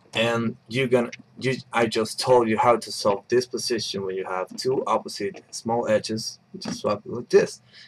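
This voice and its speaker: A man speaks at a medium pitch and a fairly slow pace. Noticeable background noise is present. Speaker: puzzle tutorial maker. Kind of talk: tutorial. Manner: casual, hesitant with fillers.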